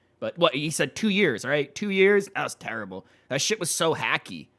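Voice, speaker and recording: On a very clean recording with a silent background, a man speaks in a bright, sharp tone with vocal fry and very wide pitch swings. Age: 30s. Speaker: streamer reacting to comedy videos. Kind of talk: casual reaction commentary. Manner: halting, self-correcting.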